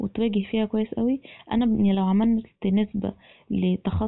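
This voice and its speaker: A woman with an unremarkable speaking voice talks at a moderate pace, her pitch fairly high. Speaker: podcast guest. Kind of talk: casual chat.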